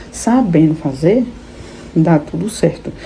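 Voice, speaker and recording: Very wide pitch swings run through the voice over noticeable background noise. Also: woman. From Brazil, Salvador (Bahia). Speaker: immigrant vlogger. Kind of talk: casual vlog monologue.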